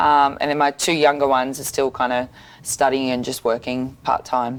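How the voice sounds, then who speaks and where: A woman speaks at a moderate pace in a very deep, low pitch. Her delivery is flat and monotone. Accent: Australian. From Sydney, Australia. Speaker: boxer. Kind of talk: interview. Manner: hesitant, many fillers.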